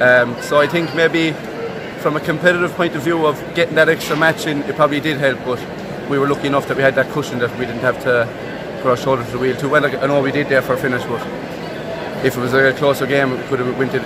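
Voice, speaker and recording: The speaker is a man talking at a very fast pace. Background noise is noticeable. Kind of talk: interview answer. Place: stadium. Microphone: phone near.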